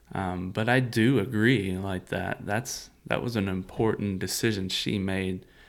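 Speech moves at a fairly slow pace. The intonation barely rises or falls. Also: man, fairly low pitch for a man. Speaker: church podcast co-host, church staff. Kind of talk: casual chat. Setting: studio. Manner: voice shifts to a podcast announcer voice.

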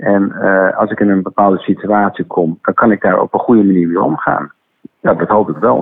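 A man speaks with fairly low pitch at a moderate pace, his loudness very even. He has a plain, everyday voice. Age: 50s. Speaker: school director. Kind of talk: interview. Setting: phone call.

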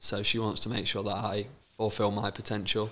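This man has an East Midlands accent and a bright, sharp tone at a fairly low pitch. His intonation is monotone and flat, and he keeps a moderate pace. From England, Lincolnshire. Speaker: professional footballer. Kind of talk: casual chat.

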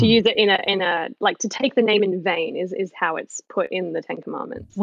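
The speaker is a woman with an Australian accent. She talks at a fairly quick pace. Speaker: caller. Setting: phone. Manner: fast talker.

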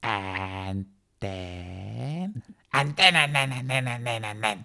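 In a put-on character voice pitched low, the speaker is heard on a very clean recording with a silent background.

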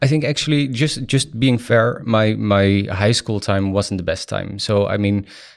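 A man with a Dutch accent, fairly low-pitched, at a moderate pace, in a very clean recording with a silent background. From Netherlands. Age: 20s. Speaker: startup founder. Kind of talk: interview.

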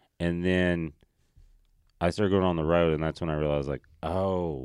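A man with an American accent speaks at a moderate pace in a very deep, low voice with fairly even intonation, recorded very cleanly against a silent background. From Tennessee, US South. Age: 30s. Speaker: stand-up comedian. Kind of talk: casual chat.

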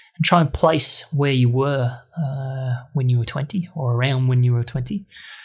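A man speaks at a fairly slow pace in a somewhat breathy voice with fairly even intonation. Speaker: podcast host. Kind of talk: interview conversation.

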